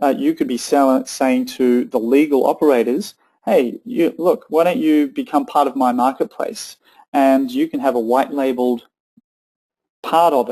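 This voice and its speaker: A man with an Australian accent talks at a moderate pace with a fairly high pitch. His tone is dark and mellow, and his intonation is lively. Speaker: tech company co-founder presenting a webinar. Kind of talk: webinar presentation with audience Q&A. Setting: online webinar with chat panel. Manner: hesitant, many fillers and restarts.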